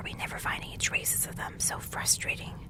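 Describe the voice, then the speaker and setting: A woman whispers over noticeable background noise, keeping a moderate pace. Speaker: ASMR creator. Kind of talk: ASMR horror story reading. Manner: whispered, soft-spoken.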